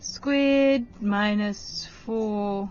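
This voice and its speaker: Her intonation lively, a woman talks at medium pitch. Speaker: maths teacher. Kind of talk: lesson on TV. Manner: slow, deliberate.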